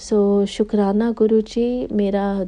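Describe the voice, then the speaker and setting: This voice has a non-native accent and a monotone, flat intonation. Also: woman. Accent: non-native accent in Hindi. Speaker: devotee sharing testimony. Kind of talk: testimony. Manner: slow, careful; halting.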